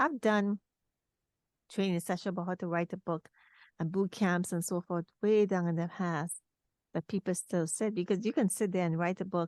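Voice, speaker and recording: Medium-pitched woman with a Trinidadian accent, ordinary pitch variation, dry, close sound with no echo and a quiet background. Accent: Trinidadian island twang. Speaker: talk show host and author. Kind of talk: interview conversation.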